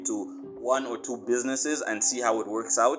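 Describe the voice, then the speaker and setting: A man with a Zambian accent talks at a moderate pace while music plays in the background. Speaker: marketing agency owner and course instructor. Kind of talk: tutorial. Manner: casual, conversational.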